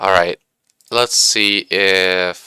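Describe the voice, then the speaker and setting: A man speaks at a fairly slow pace with a very deep, low pitch and a bright, sharp tone. The sound is dry and close, with no echo. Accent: slight Swedish. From Sweden. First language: Swedish. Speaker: game streamer and hobby engineer. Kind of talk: live stream commentary. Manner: casual, hesitant with fillers.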